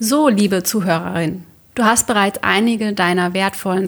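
On a very clean recording with a silent background, a woman with an unremarkable speaking voice talks at a moderate pace, her medium pitch showing ordinary variation. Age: 30s. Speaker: interior colour consultant and podcast host. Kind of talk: scripted podcast monologue.

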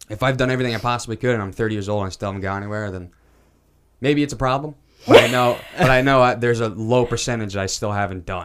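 Here a man speaks with an American accent at a very fast pace. His pitch is medium, with ordinary pitch variation. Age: 20s. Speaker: podcast co-host, filmmaker. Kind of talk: casual chat.

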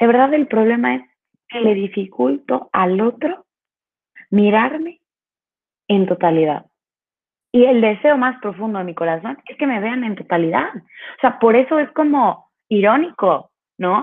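A woman with a fairly high pitch speaks in an animated tone at a fairly slow pace, with very wide pitch swings, big swings in loudness and long, frequent pauses. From Veracruz, Mexico. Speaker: Theology of the Body speaker. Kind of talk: casual interview.

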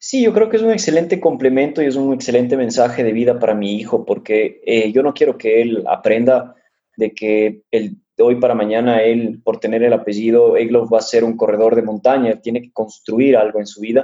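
A man talks at a moderate pace in a dark, mellow, medium-pitched voice. His intonation is fairly even, with hardly any pauses. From Ecuador. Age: 30s. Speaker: mountain runner. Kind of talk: interview.

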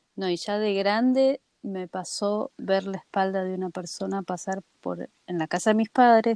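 A woman with an unremarkable speaking voice talks at a medium pitch and a fairly slow pace, her intonation fairly even. The sound is dry and close, with no echo. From Argentina. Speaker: podcast co-host. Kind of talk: casual chat.

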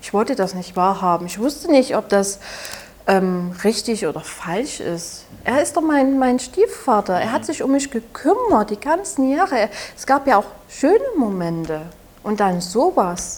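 A woman speaks with a Saxon accent. Her pitch swings very widely over noticeable background noise. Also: fairly high pitch for a woman, fairly slow pace. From Saxony, Germany. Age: 20s. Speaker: abuse survivor and podcaster. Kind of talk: interview testimony. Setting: café.

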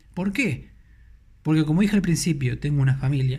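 This man's fairly high voice is somewhat breathy and carries a lively intonation. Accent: Rioplatense. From Argentina, Buenos Aires. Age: 30s. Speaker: podcast host, crypto content creator. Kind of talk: casual solo podcast talk.

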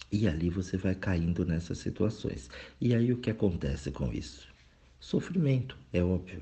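A man's very deep, low voice with vocal fry and lively intonation. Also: moderate pace. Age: 40s. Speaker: spiritual reflection speaker. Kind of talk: recorded monologue reflection. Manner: casual, conversational.

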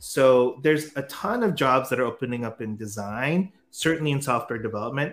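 Using a normal speaking voice, a man with an American accent talks at a fairly quick pace, fairly high in pitch, with ordinary pitch variation. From US, San Francisco. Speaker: startup founder and CEO. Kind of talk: interview.

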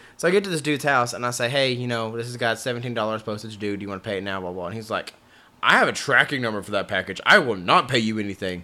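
A man speaks with a Southern US accent at medium pitch. His pitch moves with ordinary variation.

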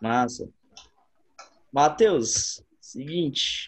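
A man with a Brazilian accent, fairly high in pitch, at a very slow pace with lively intonation. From Brazil, rural area. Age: 20s. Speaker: podcast host, gym instructor and personal trainer. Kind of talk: casual chat.

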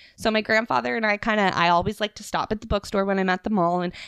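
A woman's animated, medium-pitched voice with ordinary pitch variation, dry and close with no echo, over a quiet background. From Atlantic Canada. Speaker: podcast guest. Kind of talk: casual chat. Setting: home in the woods.

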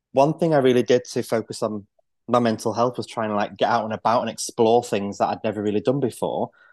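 A man in a Mancunian accent at a very fast pace, with a quiet background. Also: medium pitch for a man, fairly even intonation, dry, close sound with no echo. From northern England, Manchester. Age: 40s. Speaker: podcast guest in recovery. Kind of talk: casual interview.

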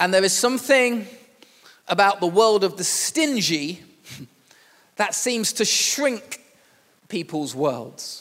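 A high-pitched man with a Yorkshire accent and lively intonation, very slow, with long, frequent pauses. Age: 40s. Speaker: pastor. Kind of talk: sermon. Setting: church.

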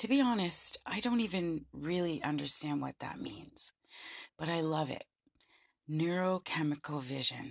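A woman's plain, everyday voice, fairly low in pitch with lively intonation and a Canadian accent, in a dry, close sound with no echo. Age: 50s. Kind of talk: solo monologue podcast.

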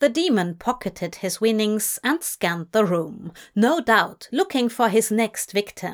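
Lively intonation in plain reading aloud

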